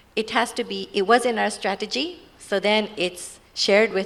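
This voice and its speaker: A woman speaks with a Japanese accent and a fairly even intonation. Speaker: NGO representative. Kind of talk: panel discussion.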